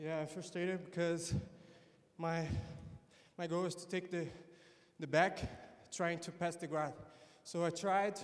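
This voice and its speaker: A man speaks in a high pitch with a Brazilian Portuguese accent. His intonation is monotone and flat, his pace fairly slow, with long, frequent pauses. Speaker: jiu-jitsu competitor. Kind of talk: post-fight interview. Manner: halting.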